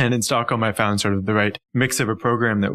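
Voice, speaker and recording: A man with a Canadian accent talks at a very fast pace, his fairly low pitch held to fairly even intonation. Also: very clean recording, silent background. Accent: Canadian, noticeable. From Canada, Ontario near Toronto. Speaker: urban planning consultant. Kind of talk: podcast interview.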